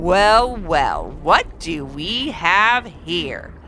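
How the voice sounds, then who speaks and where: Someone does a put-on character voice at a middle pitch over clear background noise. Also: female-sounding voice. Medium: read story. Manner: gloating, mocking.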